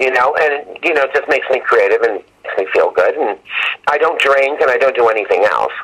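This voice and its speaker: Against noticeable background noise, a man talks at a fairly quick pace. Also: very even loudness. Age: 60s. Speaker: horror film director and actor. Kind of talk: interview.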